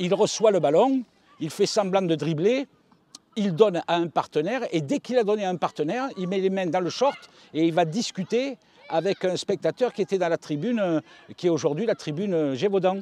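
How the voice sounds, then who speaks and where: A man with a high pitch and lively intonation talks at a moderate pace, the sound dry and close with no echo but noticeable background noise. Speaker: football radio commentator. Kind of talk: interview.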